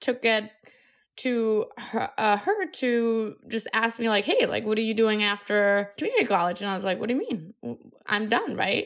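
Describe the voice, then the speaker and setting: A woman speaks with a Colombian accent and ordinary pitch variation. The background is quiet. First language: Spanish. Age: 30s. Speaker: entrepreneur. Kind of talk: interview.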